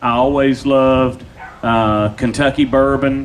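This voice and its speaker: With a Tennessee accent, a man speaks in fairly even intonation against noticeable background noise. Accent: US Southern (Tennessee). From Nashville, Tennessee. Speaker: pitmaster, restaurant owner. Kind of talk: interview. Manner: loud.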